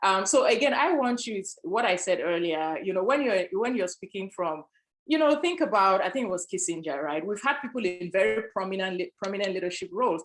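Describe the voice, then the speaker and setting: At a fairly quick pace, a woman with an African accent speaks in a medium pitch with lively intonation. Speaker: panelist, sales executive. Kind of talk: panel discussion.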